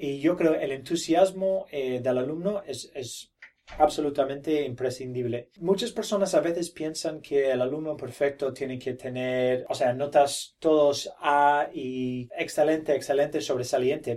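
Speaking at a fairly slow pace with hardly any pauses, a man with a fairly high pitch uses ordinary pitch variation. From Australia, Brisbane. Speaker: teacher running a Spanish immersion school program. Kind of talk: interview. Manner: halting, many fillers and repetitions.

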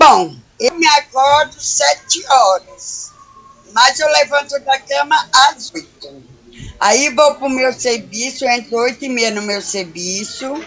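Over music in the background, a woman with a high pitch speaks at a very slow pace with lively intonation. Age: 50s. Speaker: day cleaner. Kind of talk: interview answers.

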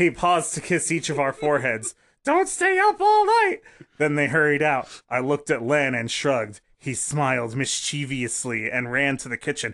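This is an ordinary speaking voice with fairly even intonation, delivered at a moderate pace. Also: man, fairly high pitch for a man. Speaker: podcast co-host. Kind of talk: casual chat, comedic banter, reading aloud. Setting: live stream.

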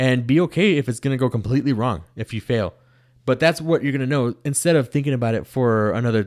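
Speech comes at a very fast pace with ordinary pitch variation. The recording is very clean, with a silent background and a dry, close sound with no echo. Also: man. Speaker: podcast co-host. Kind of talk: casual chat. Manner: fast talker.

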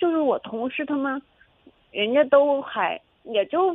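Her pitch swinging very widely, a woman speaks. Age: 20s. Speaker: caller seeking dating advice. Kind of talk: call-in advice conversation. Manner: halting, with many fillers and repetitions.

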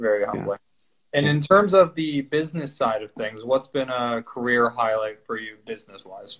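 A man with an unremarkable speaking voice talks at a moderate pace and medium pitch, with hardly any pauses. His intonation is lively, with big swings in loudness. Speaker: podcast host. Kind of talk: casual interview. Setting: video call.

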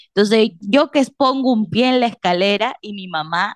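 A woman talks at a moderate pace. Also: dry, close sound with no echo. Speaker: podcast co-host. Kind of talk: casual chat.

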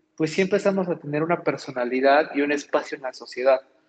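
One man speaks in a normal speaking voice at a moderate pace with ordinary pitch variation. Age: 30s. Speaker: café owner. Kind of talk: interview.

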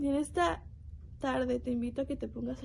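A woman is speaking. She keeps a moderate pace. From Mexico, Nuevo León. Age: young. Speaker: bible college student giving a devotional. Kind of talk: devotional testimony.

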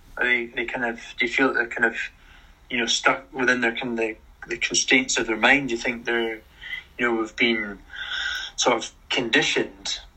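Long, frequent pauses in a Scottish accent. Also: man, moderate pace. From Scotland. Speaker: podcast host. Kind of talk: casual interview chat. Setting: live stream.

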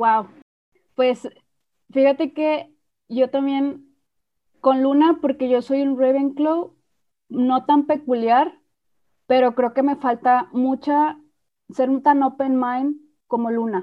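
A woman speaks at a very slow pace with long, frequent pauses. Her high-pitched voice keeps a fairly even intonation. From Mexico. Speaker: podcast host. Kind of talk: casual chat.

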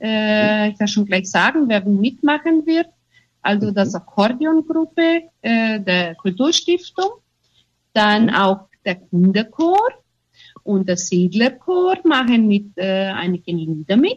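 Very slowly, a woman speaks at a fairly high pitch, somewhat breathy, with very wide pitch swings. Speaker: theatre group leader. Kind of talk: radio interview. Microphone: unstable internet connection.

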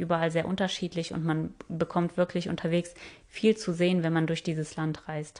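A woman speaks at a moderate pace in a fairly low voice. Her intonation is flat and monotone, with a quiet background. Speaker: travel podcaster. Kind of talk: solo travel podcast narration.

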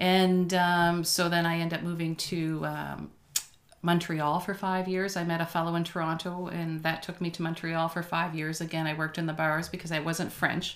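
A woman with a Maritime Canadian accent speaks at a moderate pace in a fairly low, monotone, flat voice. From New Brunswick, Canada (Moncton). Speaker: restaurant owner. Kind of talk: casual interview. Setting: studio.

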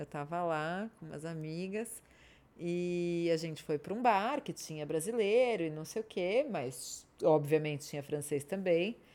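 On a very clean recording with a silent background, a woman speaks fairly slowly at a fairly low pitch, her dark, mellow tone carrying lively intonation and big swings in loudness. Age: 30s. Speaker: podcast co-host. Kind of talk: casual chat. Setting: studio.

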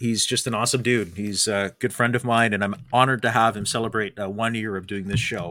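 Very fast-paced man with a Canadian accent, bright, sharp tone and fairly even intonation. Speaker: podcast host, former broadcaster. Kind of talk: casual interview chat. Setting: studio, live show.

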